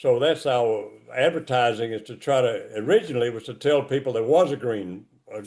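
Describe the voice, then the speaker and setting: In a Southern US accent, a man with a dark, mellow tone speaks at a moderate pace. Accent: Southern US (Georgia). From US South. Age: 80s+. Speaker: cemetery founder. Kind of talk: interview. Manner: halting.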